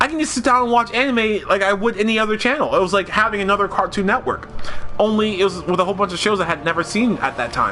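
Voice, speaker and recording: A man talks very fast and in an animated tone while noticeable noise sounds behind him. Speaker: video game streamer. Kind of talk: casual live stream chat. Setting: live stream.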